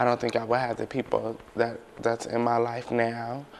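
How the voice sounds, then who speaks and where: Flat, monotone delivery from a man with an American accent. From US West, San Francisco. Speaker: college student. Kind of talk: interview.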